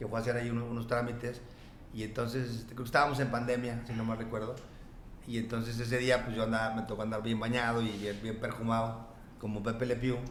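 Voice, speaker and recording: A man with a Mexican accent talks at a very fast pace in a monotone, flat intonation. There is audible room echo and noticeable background noise. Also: medium pitch for a man. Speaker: notary. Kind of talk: casual chat.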